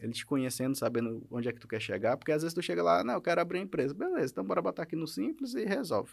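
In a very clean recording with a silent background, a man speaks at a very fast pace with hardly any pauses, his fairly high voice showing vocal fry, very wide pitch swings and big changes in loudness. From Maranhão, Brazil. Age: 30s. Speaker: lawyer. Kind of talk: podcast interview. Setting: studio.

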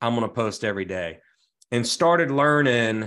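A plain, everyday voice from a man, medium-pitched with ordinary pitch variation, at a fairly quick pace over a quiet background. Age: 40s. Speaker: residential realtor. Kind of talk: casual interview chat.

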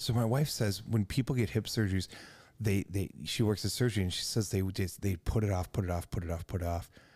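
Very fast and somewhat breathy, a man talks with an American accent at a fairly low pitch with ordinary pitch variation. The recording is very clean, with a silent background. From United States. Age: 50s. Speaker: podcast host. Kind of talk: casual interview.

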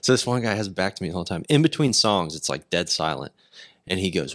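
At a fairly quick pace, a man with a Texas accent and a fairly low pitch makes very wide pitch swings, in a dry, close sound with no echo and a very clean recording with a silent background. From Texas, Decatur. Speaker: podcast host and musician. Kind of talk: casual chat.

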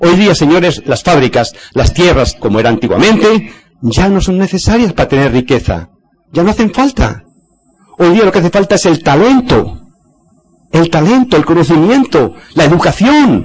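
Over music in the background, a man speaks at a high pitch and a moderate pace, his pitch swinging very widely while his loudness stays very even. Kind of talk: lecture.

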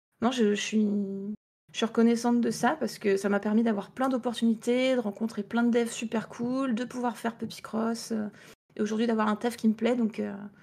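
A woman talks at a moderate pace with a fairly high pitch and flat, monotone intonation. Her voice is somewhat breathy, with a dark, mellow tone. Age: 20s. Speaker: indie game developer. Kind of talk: interview.

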